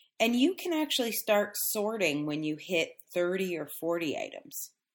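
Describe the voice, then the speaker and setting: Over a very clean recording with a silent background, a woman with an unremarkable speaking voice talks at a fairly slow pace, her intonation lively. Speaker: podcast host and book coach. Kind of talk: solo podcast instruction. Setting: studio podcast recording. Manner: casual with fillers.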